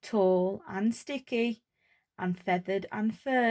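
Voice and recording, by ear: Over a quiet background, a person is reading aloud in a natural voice.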